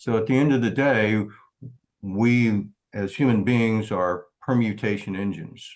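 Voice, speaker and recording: A man, using a normal speaking voice, keeps his intonation fairly even at a fairly low pitch. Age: 60s. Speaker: startup founder presenting. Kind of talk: Q&A at entrepreneur meetup.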